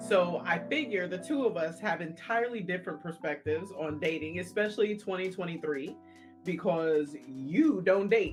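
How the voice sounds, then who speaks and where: With music in the background, a woman with a fairly low pitch talks at a moderate pace, her intonation lively. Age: 50s. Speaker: podcast co-host. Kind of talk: casual podcast conversation. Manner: candid, humorous.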